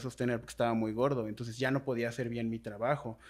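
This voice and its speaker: With fairly even intonation, a man speaks at a medium pitch. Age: 20s. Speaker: writer and blogger, body positivity advocate; blogger. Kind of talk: casual interview conversation. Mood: reflective, earnest. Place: home room. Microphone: studio mic.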